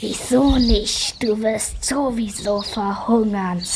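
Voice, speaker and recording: Over clear background noise, a woman uses a put-on character voice pitched fairly high and speaks very slowly. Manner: hissing, menacing.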